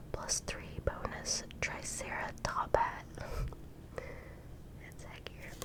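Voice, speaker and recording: Whispering at a very slow pace with long, frequent pauses over noticeable background noise. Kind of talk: ASMR card reading. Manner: whispered, soft-spoken.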